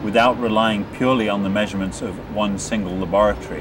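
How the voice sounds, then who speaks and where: With music in the background, a man speaks at a moderate pace in a fairly low pitch. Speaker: interviewee. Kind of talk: interview answer. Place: open country.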